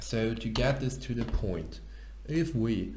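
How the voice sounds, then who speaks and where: A man talks at a fairly slow pace, and the room echo is audible. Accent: non-native. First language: not English. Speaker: programmer and tech YouTuber. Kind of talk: tutorial. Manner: halting.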